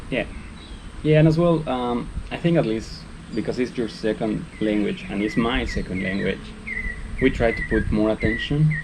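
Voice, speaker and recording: The speaker has a Spanish accent and lively intonation at a moderate pace. Long, frequent pauses break the speech over noticeable background noise. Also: man, medium pitch for a man. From Mexico. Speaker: vlogger. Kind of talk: casual chat.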